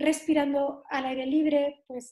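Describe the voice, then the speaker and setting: Her voice is high for a woman, with a dark, mellow tone and monotone, flat intonation, against a quiet background. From southern Spain (Algeciras, Cádiz). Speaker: nutritional therapist. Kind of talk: interview.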